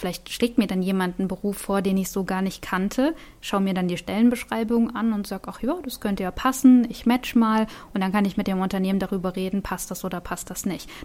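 A woman with a plain, everyday voice speaks at medium pitch and a fairly quick pace, with ordinary pitch variation. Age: 30s. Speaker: vocational school teacher and startup founder. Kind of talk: interview.

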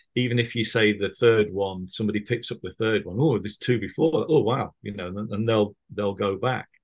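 With a Mancunian accent, a man speaks at a moderate pace and medium pitch, with ordinary pitch variation against a quiet background. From Manchester, northern England. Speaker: musician and author. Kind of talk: casual chat. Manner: halting, many fillers and repeats.

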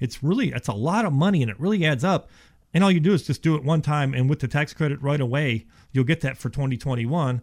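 A man with an American accent talks very fast in a fairly high-pitched, somewhat breathy voice with ordinary pitch variation. The recording is very clean, with a silent background. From Ohio, then Houston, Texas from age 12. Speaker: insulation company representative. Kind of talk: sales-oriented radio interview. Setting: radio studio. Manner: casual, conversational with filler words.

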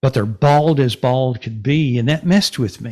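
In a very clean recording with a silent background, the speaker uses lively intonation with a Texan accent. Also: man. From North Texas (Denison). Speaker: retired salesman and podcaster. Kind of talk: casual interview.

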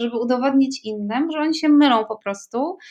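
A woman speaks at a fairly quick pace. Her pitch is high, with ordinary pitch variation. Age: 40s. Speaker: writer and writing workshop leader. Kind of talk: casual chat.

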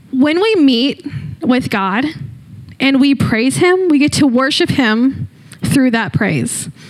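Over noticeable background noise, a woman with a high voice and lively intonation speaks very slowly, with long, frequent pauses and very even loudness. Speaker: student leader preacher. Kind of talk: sermon. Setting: church.

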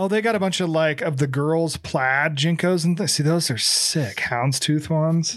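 An ordinary speaking voice comes at a moderate pace with very even loudness and ordinary pitch variation. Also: man, fairly high pitch for a man. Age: 40s. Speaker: podcast co-host. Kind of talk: casual chat.

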